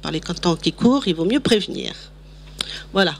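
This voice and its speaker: A woman talks at a medium pitch. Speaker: meeting moderator. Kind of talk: meeting announcement. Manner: loud.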